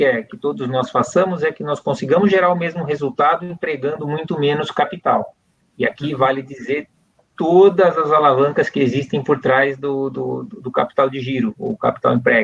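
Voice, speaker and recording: Here a man talks at a moderate pace. His pitch is fairly high, with ordinary pitch variation. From Brazil. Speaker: company CEO. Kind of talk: interview. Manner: hesitant fillers, repeated words.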